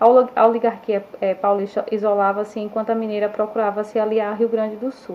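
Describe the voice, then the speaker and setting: A woman speaks at a fairly high pitch and a fairly quick pace. Her intonation is monotone and flat. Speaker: schoolteacher. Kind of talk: online history lesson. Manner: halting, with fillers and self-corrections.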